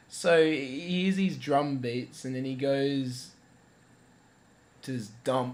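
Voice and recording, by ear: With audible room echo, a man at medium pitch speaks in a slightly mellow tone with ordinary pitch variation.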